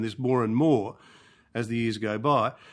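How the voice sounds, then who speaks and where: A man with an Australian accent at a moderate pace, quiet background. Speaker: archbishop and scripture scholar. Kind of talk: lecture. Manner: halting.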